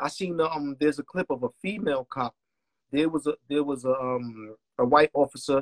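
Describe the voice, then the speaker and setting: Delivered in a dry, close sound with no echo, the speech has a Brooklyn accent, a moderate pace and ordinary pitch variation. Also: man, fairly high pitch for a man. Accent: New York (Brooklyn). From Brooklyn, New York. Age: 40s. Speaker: music producer. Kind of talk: casual chat.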